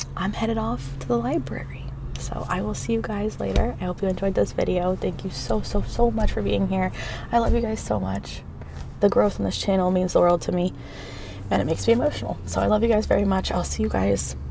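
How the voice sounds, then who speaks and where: Over noticeable background noise, a woman talks at a fairly quick pace in a dry sound with no echo. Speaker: vlogger. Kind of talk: casual vlog chat. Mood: warm, caring, emotional. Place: car. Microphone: phone near.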